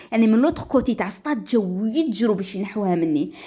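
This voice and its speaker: A woman speaks at a moderate pace in a dark, mellow tone. Her pitch swings very widely. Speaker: storyteller. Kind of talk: dramatic first-person story narration. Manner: lively, expressive.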